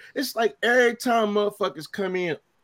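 A man's animated voice at a fairly quick pace, with ordinary pitch variation. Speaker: podcast host. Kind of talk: casual banter podcast chat. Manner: animated, profane.

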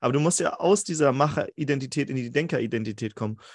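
A man's fairly high-pitched, unremarkable speaking voice with lively intonation, a moderate pace, and a dry, close sound with no echo over a quiet background. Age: 30s. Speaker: podcast host. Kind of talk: casual interview. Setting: remote call.

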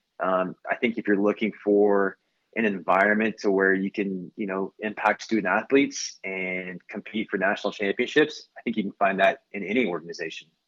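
Recorded with a dry, close sound and no echo, a man with an American accent talks at a moderate pace in a fairly low pitch with fairly even intonation. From Oklahoma (Tulsa). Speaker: college soccer coach. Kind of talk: interview. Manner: halting, many fillers.

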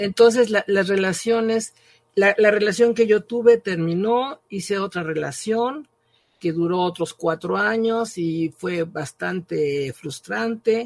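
A woman's medium-pitched voice at a very slow pace, with lively intonation and a dry, close sound with no echo. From Mexico. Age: 80s+. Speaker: writer and professor. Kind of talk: podcast testimony.

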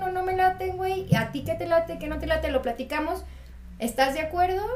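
A woman with a Mexican accent and ordinary pitch variation, amid noticeable background noise. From Mexico. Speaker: architect. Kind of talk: casual chat.

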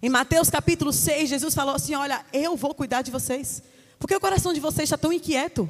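Pitched high, a woman speaks at a moderate pace with ordinary pitch variation. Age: 30s. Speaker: preacher. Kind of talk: sermon. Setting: church.

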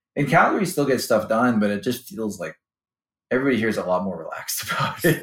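A man speaks very fast at a medium pitch, his voice swinging very widely up and down. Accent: American. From US Midwest, Chicago suburbs. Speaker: finance executive. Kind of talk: interview. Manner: hesitant, many fillers and repeats.

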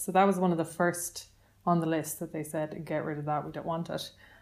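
A woman's fairly low voice with an Irish accent. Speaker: radio host. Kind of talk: casual chat.

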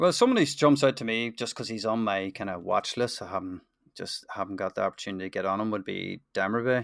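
On a very clean recording with a silent background and a dry, close sound with no echo, a man with a Northern Irish accent speaks at a very fast pace, medium in pitch with ordinary pitch variation. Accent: Northern Irish, sounds very similar to host. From Northern Ireland. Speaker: football trading investor. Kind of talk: casual chat.

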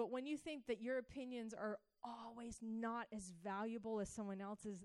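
A woman with an American accent uses an ordinary speaking voice at a moderate pace. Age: 30s. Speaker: church teacher. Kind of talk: sermon.

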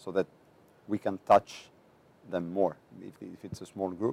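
Recorded in a dry, close sound with no echo, a man with a Greek accent speaks at a fairly quick pace in a fairly low pitch with a dark, mellow tone. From Greece, island of Andros. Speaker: education officer at an international organization. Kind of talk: interview.

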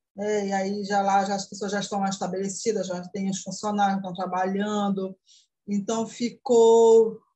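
Her voice is dark, mellow and somewhat breathy, at a medium pitch. This woman speaks at a fairly slow pace in a monotone, flat intonation. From Brazil, interior of Pará. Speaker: accounting student. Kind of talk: interview.

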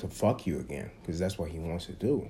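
The man here talks at a fairly quick pace. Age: 20s. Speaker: podcast host. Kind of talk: casual chat.

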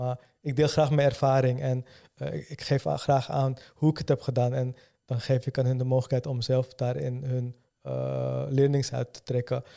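The speaker talks at a moderate pace with monotone, flat intonation and a dark, mellow tone. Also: man, medium pitch for a man. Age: 30s. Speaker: entrepreneur, company founder. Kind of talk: interview. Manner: halting, many fillers and repetitions.

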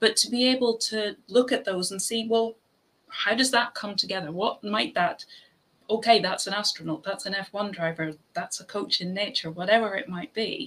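Lively intonation marks a woman's fairly high voice. She speaks with an Irish accent. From Ireland. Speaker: podcast host. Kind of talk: casual chat.

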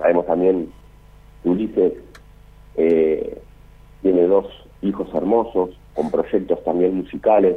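A man holds a very even loudness while talking at a fairly slow pace with long, frequent pauses. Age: 40s. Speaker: musician, drummer. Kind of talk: casual interview, remembrance.

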